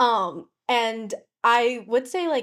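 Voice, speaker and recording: On a very clean recording with total silence behind her, a woman talks with lively intonation. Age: 20s. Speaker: college intern. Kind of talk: casual chat. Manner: hesitant, many fillers.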